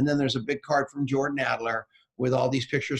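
Somewhat breathy, a man's voice rises and falls with ordinary pitch variation. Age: 60s. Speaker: podcast and radio host. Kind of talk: casual interview chat. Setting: hotel room, video livestream. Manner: animated.

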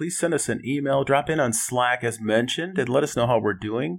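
An ordinary speaking voice from a man with an American accent, moderate pace and ordinary pitch variation, on a very clean recording with a silent background. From Minnesota, Twin Cities. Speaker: board game enthusiast. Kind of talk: casual chat.

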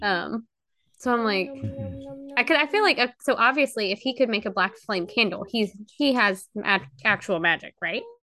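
Music plays in the background as someone speaks at a moderate pace with an American accent. Long pauses come often. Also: woman, fairly high pitch for a woman, ordinary pitch variation. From US state of Georgia. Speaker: princess party performer. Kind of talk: casual chat.

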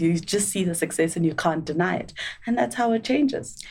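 Speaking at a fairly quick pace with lively intonation, a woman has a plain, everyday voice at a medium pitch. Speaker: actuary and entrepreneur.

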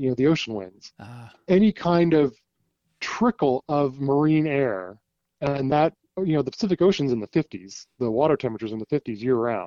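A man speaks at a moderate pace in a medium pitch, his intonation lively. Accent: West Coast US. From US West Coast. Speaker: TV meteorologist. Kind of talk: casual interview. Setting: phone call.

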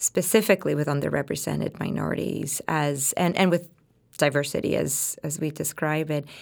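A woman speaks over noticeable background noise. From Puerto Rico. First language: Spanish. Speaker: pediatrician and diversity officer, associate professor. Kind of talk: interview discussion.

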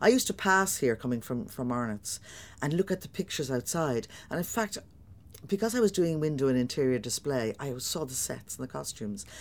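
At a fairly quick pace, a woman with a Dublin accent speaks very deep and low, her pitch swinging very widely and her loudness rising and falling sharply. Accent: Dublin Irish. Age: 60s. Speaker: stage actor. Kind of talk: interview. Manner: animated.

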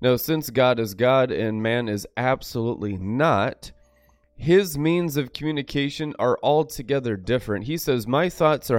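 A man speaks at medium pitch and a moderate pace with ordinary pitch variation, recorded very cleanly against a silent background. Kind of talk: sermon. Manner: animated, preachy.

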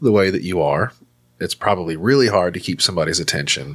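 With a Southern US accent, a man with a very deep, low voice talks at a fairly quick pace with lively intonation. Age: 30s. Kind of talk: casual comedic banter. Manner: joking, crude.

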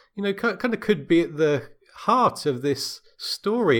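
The speaker uses lively intonation and speaks with an English accent. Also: man. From England. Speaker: podcaster. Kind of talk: casual chat. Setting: video call.

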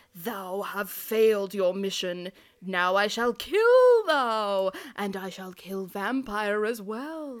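In a put-on character voice, a female-sounding voice speaks at medium pitch and a very slow pace on a very clean recording with a silent background. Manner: evil, menacing.

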